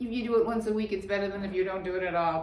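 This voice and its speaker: A woman's voice carries audible room echo. Noticeable background noise is also present. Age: old. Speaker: yoga teacher. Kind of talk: tutorial.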